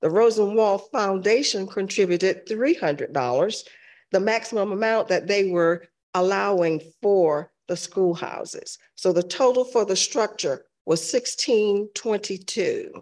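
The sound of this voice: The pace is fairly slow and the intonation lively. The tone is slightly mellow. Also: woman, medium pitch for a woman.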